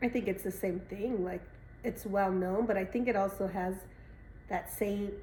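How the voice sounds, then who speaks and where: In a Spanish accent, a woman with a medium-pitched voice talks at a moderate pace. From Arizona, Tucson. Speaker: interviewee, family member. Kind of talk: interview.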